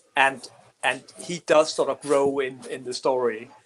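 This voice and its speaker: A man talks with a Danish accent. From Denmark. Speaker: comic book writer. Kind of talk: interview. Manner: halting.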